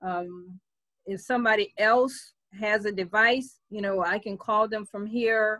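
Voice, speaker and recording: A woman with a bright, sharp tone speaks fairly slowly at a fairly high pitch, her intonation fairly even and the sound dry with no echo. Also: quiet background. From New Orleans, US South. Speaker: internet marketer and voice app developer; presenter. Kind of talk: online presentation workshop. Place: home room. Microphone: video call.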